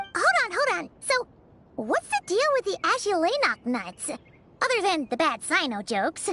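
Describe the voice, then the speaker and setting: This put-on character voice sits at an extremely high pitch and swings very widely up and down. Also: moderate pace. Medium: video game. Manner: curious, wry.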